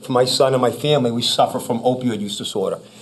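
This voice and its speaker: A man speaks with a Boston accent. His pace is very fast. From Massachusetts. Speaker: former police chief. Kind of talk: public presentation. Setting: town board meeting.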